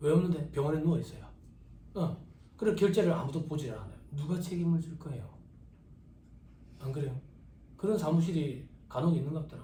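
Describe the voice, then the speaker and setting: A man talks at a fairly quick pace with a fairly high pitch, a dark, mellow tone and vocal fry. He leaves long, frequent pauses, and audible room echo is present. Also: ordinary pitch variation. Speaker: tax practice lecturer. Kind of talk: lecture. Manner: casual, conversational.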